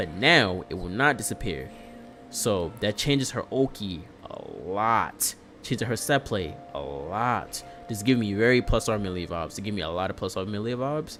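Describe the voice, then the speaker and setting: A man's fairly low voice with lively intonation at a moderate pace, with music in the background. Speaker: fighting game streamer. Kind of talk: live stream commentary on patch notes. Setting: live stream. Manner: casual, filler-heavy.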